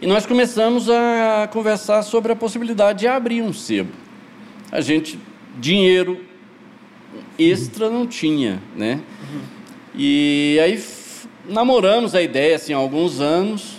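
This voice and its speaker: Over noticeable background noise, a high-voiced man speaks fairly slowly with lively intonation. He leaves long, frequent pauses. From Goiás, Brazil. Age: 60s. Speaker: poet and shop co-founder. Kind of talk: casual podcast interview.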